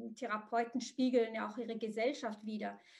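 A woman speaks with an Arabic accent and a high pitch. Her intonation is fairly even. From Morocco. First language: Arabic (speaking German). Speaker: psychotherapist. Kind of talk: interview. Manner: halting, many fillers.

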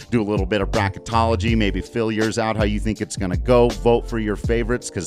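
A man's words come out at a very fast pace. Background music accompanies him. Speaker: podcast host. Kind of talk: casual conversational. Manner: soothing.

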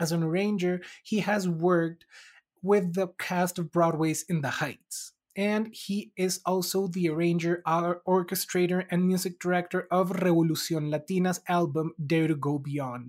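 An ordinary speaking voice from a woman, fairly low in pitch, at a moderate pace with fairly even intonation. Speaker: podcast host. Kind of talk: scripted intro, then interview.

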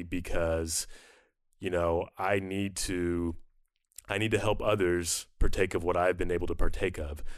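A man's very deep, low voice in a monotone, flat delivery. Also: quiet background. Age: 30s. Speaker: musician and podcast co-host. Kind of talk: interview conversation.

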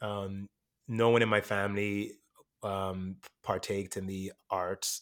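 On a very clean recording with a silent background and a dry, close sound with no echo, a man speaks at a fairly slow pace with a fairly low pitch and monotone, flat intonation. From Jamaica, partly raised in Miami. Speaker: actor and adjunct professor. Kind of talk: casual interview. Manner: halting, fillers and repetitions.

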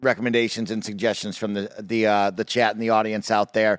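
An animated man's voice at a medium pitch and a moderate pace. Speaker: racing game enthusiast and podcast host. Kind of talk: casual chat. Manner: animated, hype.

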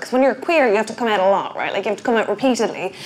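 Noticeable background noise sits under this recording. A woman with an Irish accent speaks at a very fast pace. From Ireland. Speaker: stand-up comedian. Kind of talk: interview.

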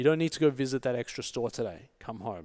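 A man with an Australian accent speaks at a fairly quick pace in a medium pitch. His intonation is lively, and the recording is very clean with a silent background. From Australia, Sydney. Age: 40s. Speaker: entrepreneur. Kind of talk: casual chat.

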